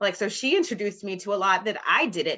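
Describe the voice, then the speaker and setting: A woman's medium-pitched, bright, sharp voice at a fairly quick pace against a quiet background. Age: 30s. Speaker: guest sharing personal experiences. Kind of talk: casual chat.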